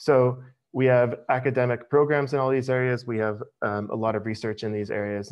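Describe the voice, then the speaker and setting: With an American accent, a man speaks at a very fast pace and keeps his intonation fairly even. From United States. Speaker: university international staff presenter. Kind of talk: webinar presentation. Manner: casual with many filler words.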